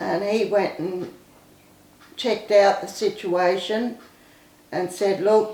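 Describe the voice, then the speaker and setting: With an Australian accent, a woman at medium pitch speaks very slowly in a flat monotone, leaving long, frequent pauses amid noticeable background noise and audible room echo. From Queensland, Australia. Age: 70s. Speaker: recovered addict telling life story. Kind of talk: testimony. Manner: halting.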